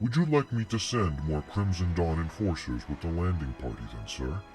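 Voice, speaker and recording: A man's put-on character voice, very deep and low, at a moderate pace over clear music in the background. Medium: audio drama. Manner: formal, deferential.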